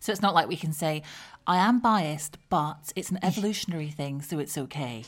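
A woman with a southern English accent speaks at a fairly quick pace, her pitch very deep and low for a woman and her intonation lively. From southern England. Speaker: podcast host. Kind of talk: interview. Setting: remote recording.

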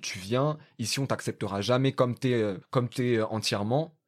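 A man at a moderate pace and medium pitch, on a very clean recording with a silent background. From France. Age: 20s. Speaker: podcaster and journalism graduate. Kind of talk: casual conversation. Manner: halting, many fillers.

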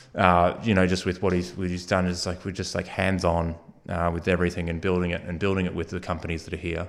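Very fast, flat, monotone speech from a man with a very deep, low voice and an Australian accent. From Australia, Geelong (Victoria). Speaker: innovation hub co-founder. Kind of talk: interview.

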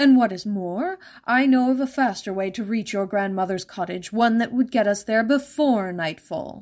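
A female-sounding put-on character voice runs at a moderate pace with hardly any pauses on a very clean recording with a silent background. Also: fairly high pitch for a woman. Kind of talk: fairytale reading. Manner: falsely courteous, concerned.

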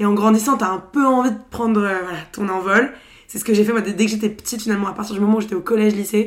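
Someone speaks very fast with a fairly even intonation. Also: woman. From Paris, France. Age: 20s. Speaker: podcaster. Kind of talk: casual chat.

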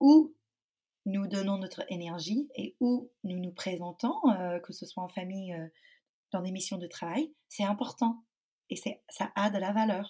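A woman with an English accent speaks at a very slow pace, her voice somewhat breathy and medium in pitch. Her tone is dark and mellow, with ordinary pitch variation. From United States. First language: English (speaking French). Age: 30s. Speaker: parenting coach and company founder. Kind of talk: podcast interview. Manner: calm, serene; hesitant, with frequent fillers.

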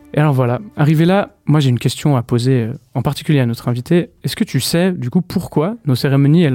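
A man speaks at a fairly quick pace with a fairly high pitch. His tone is dark and mellow. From Switzerland, Vaud. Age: 30s. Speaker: guest columnist. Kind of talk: casual chat. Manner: halting.

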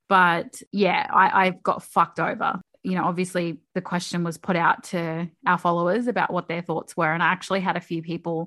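A woman speaks at a moderate pace in an unremarkable speaking voice, her pitch fairly low. The background is quiet. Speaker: podcast co-host. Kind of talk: casual chat. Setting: recording from bedroom at home.

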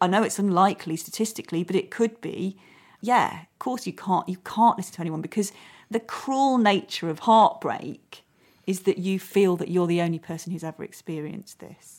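Here a woman uses an ordinary speaking voice at a medium pitch, with ordinary pitch variation and a moderate pace. Her loudness swings widely, and the recording is very clean with a silent background. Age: 40s. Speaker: podcast host and actress. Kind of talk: casual chat.

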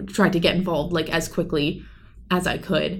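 Pitched fairly low, a woman speaks at a moderate pace. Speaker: college student and poet. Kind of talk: casual interview. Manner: halting.

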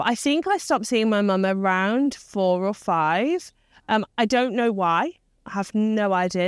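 In an English Midlands accent, a woman speaks at a medium pitch with lively intonation. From English Midlands, Leicester. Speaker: business mentor and CEO. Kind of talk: interview conversation. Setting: rooftop location.

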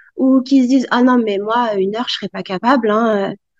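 A woman talks with ordinary pitch variation, the background quiet. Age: 40s. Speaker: medical assistant and nordic walking instructor. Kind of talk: interview. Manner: hesitant, many fillers.

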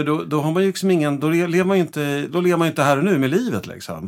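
A very clean recording with a silent background of a man at a fairly quick pace. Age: 50s. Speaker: gestalt therapist. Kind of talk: casual chat.

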